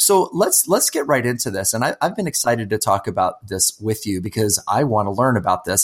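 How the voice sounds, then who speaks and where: Moving at a fairly quick pace, a man at a medium pitch has a plain, everyday voice. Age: 50s. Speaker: podcast host and nurse. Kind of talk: casual interview.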